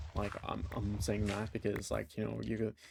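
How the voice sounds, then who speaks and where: Vocal fry marks this man's fairly low voice. His tone is dark and mellow. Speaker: gaming YouTuber. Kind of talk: casual gameplay commentary. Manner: halting, many fillers and restarts.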